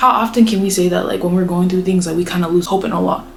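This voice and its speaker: Someone with an American accent talks at a very fast pace over background music. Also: woman. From United States. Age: 20s. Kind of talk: casual talk to camera. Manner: upbeat.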